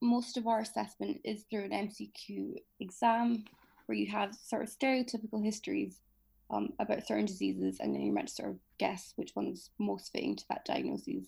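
A woman speaks in an Edinburgh accent. Her pace is moderate. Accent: Scottish (Edinburgh). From Scotland, Edinburgh. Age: 20s. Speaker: medical student. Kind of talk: casual interview.

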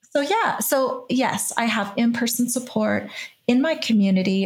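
Somewhat breathy woman's voice at a moderate pace, with ordinary pitch variation. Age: 50s. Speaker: podcast host and author in recovery. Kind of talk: casual interview.

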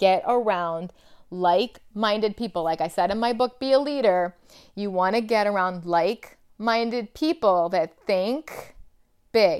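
A woman's animated, medium-pitched voice at a fairly slow pace, ordinary pitch variation, very clean recording with a silent background. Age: 50s. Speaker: podcast host and leadership coach. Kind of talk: motivational monologue.

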